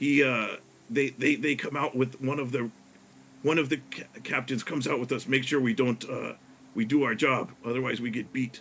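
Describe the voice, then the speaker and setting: Putting on a character voice, a man speaks at a moderate pace in a raspy, medium-pitched tone. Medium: actual play. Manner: halting, broken grammar.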